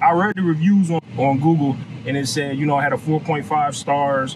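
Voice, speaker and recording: Noticeable background noise sits under a man's voice. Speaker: food reviewer. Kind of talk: casual vlog chat. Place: car. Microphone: phone near.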